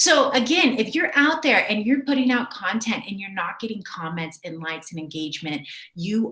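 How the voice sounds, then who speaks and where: Over noticeable background noise, a woman speaks in an energetic tone with very wide pitch swings. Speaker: video marketing coach. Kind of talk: live webinar teaching. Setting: livestream. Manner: fast.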